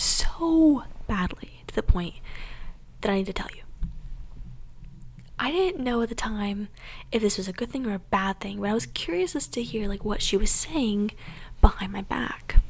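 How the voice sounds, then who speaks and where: Somewhat breathy and fairly high in pitch, a woman speaks at a moderate pace with lively intonation, big swings in loudness, and long, frequent pauses. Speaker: ASMR content creator. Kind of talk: whispered ASMR story time. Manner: whispered, soft, casual storytelling.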